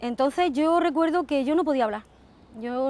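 A woman talks at a moderate pace with ordinary pitch variation. The sound is dry, with no echo. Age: 40s. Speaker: ostomy patient. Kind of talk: testimony. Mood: earnest, emotional recollection. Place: open country. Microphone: lapel.

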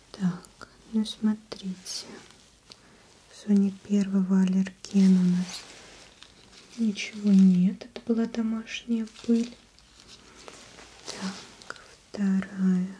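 A soft-spoken woman in a flat monotone, very slow with long, frequent pauses, and light background noise. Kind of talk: soft-spoken role-play address to viewer. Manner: soft, quiet ASMR speaking voice.

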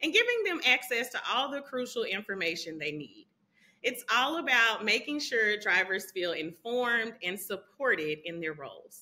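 Her pitch rises and falls across a very wide range. The woman keeps a moderate speed. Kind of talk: scripted sponsor segment. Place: home room. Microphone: phone near.

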